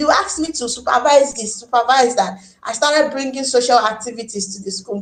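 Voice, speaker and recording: The pace is moderate. The speaker has a Nigerian accent. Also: woman. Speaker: teacher. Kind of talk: interview. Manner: loud; animated.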